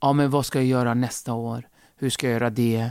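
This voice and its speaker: This man speaks at a medium pitch and a fairly quick pace in a monotone, flat intonation, recorded very cleanly against a silent background with a dry, close sound and no echo. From Kurdish region of Turkey, raised in Sweden from age 8. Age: 40s. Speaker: comedian. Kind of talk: casual interview.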